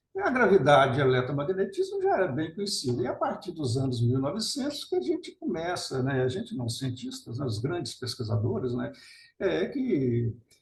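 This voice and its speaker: Audible room echo surrounds a man whose fairly high voice makes very wide pitch swings. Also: moderate pace. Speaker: nuclear scientist and author. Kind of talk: webinar lecture.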